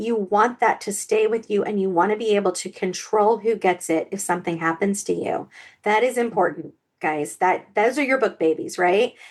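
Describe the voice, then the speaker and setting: A woman talks with an American accent at a moderate pace. Her pitch is medium, with ordinary variation. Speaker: author and podcast co-host. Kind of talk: casual podcast chat. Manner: animated, frequent fillers and repetitions.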